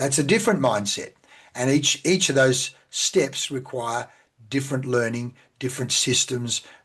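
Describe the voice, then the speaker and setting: This man speaks with an Australian accent at a medium pitch. His pitch varies in an ordinary way. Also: moderate pace. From Australia (central Victoria). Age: 60s. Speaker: sales and business coach. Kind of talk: interview.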